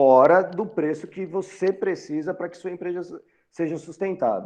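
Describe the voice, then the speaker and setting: A man with a high pitch keeps his intonation fairly even while his loudness swings widely. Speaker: university lecturer. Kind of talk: lecture. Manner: halting.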